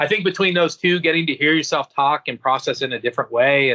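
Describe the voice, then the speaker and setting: Loud and bright with a sharp edge, a man's voice sits at a fairly high pitch in a dry, close recording with no echo. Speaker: family therapist. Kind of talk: interview. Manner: loud and gregarious; hesitant with many fillers.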